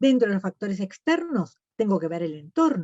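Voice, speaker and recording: A woman's voice with very wide pitch swings. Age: 70s. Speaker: nutritionist. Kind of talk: lecture.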